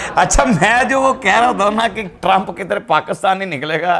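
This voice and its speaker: Over music in the background, a man with a high pitch speaks in an animated tone with lively intonation. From Pakistan. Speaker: political comedy vlogger. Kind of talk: political commentary vlog to camera. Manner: animated, mocking.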